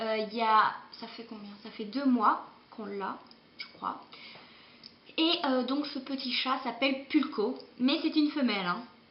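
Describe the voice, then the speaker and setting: Speech comes at a fairly slow pace with long, frequent pauses, set against audible room echo and noticeable background noise. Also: woman, high pitch for a woman, ordinary pitch variation, big swings in loudness. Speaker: beauty vlogger. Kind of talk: casual vlog monologue. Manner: hesitant, many fillers.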